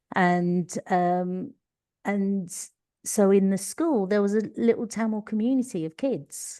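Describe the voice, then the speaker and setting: In a Cockney accent, a woman speaks at a very slow pace with a dark, mellow tone and ordinary pitch variation, over a quiet background. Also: medium pitch for a woman. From East London. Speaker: leadership coach, former teacher. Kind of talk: podcast interview.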